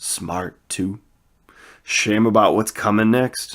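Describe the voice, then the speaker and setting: A man uses a put-on, rumbling character voice at a fairly low pitch and a very slow pace. The recording is very clean with a silent background. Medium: read story. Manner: simple, good-natured.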